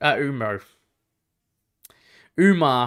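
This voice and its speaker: A man with a slight Australian accent speaks at a medium pitch in an animated tone. The recording is very clean, with a silent background. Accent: mild Australian. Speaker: MMA live-stream commentator. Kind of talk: live reaction stream, casual chat with viewers. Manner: casual, animated.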